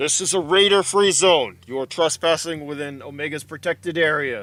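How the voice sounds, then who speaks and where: In a booming, put-on character voice, a man talks at a moderate pace and a fairly high pitch. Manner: stern warning.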